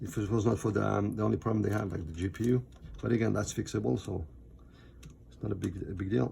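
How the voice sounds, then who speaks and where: A man talks at a very fast pace with a non-native accent and a fairly low pitch. His dark, mellow tone carries vocal fry and lively intonation. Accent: foreign. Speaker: MacBook repair technician. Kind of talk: tutorial. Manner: halting, many fillers.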